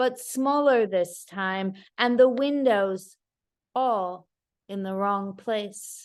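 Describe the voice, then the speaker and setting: A woman speaks at a very slow pace and medium pitch. Her pitch varies in an ordinary way against a quiet background. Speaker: poet. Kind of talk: poetry reading.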